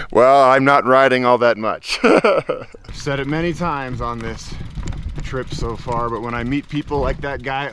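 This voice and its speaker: A man speaks at a moderate rate while noticeable noise sounds in the background. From Colorado. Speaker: adventure vlogger. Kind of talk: casual vlog narration. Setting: outdoors on a trail. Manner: animated.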